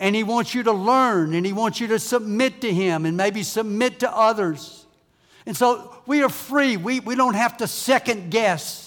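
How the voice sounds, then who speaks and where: A man with a Southern US accent, high in pitch, at a moderate pace with ordinary pitch variation. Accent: US South. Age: 70s. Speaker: visiting preacher. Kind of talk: sermon. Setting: church.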